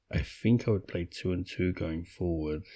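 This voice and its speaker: Whispering, a man speaks at a very slow pace. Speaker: gaming YouTuber. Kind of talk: gameplay commentary. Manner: rambling with frequent fillers.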